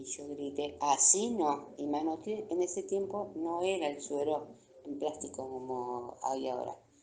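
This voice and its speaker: Dark and mellow in tone, a woman speaks at a fairly slow pace with ordinary pitch variation. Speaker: retired military base nurse. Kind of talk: interview, personal testimony.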